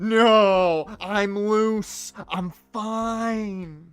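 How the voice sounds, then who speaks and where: A female-sounding, put-on character voice, shrill at a medium pitch, comes through a very clean recording with a silent background. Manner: tense, insisting.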